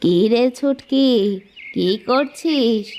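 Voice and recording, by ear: In a cartoonish character voice, a woman speaks at a high pitch.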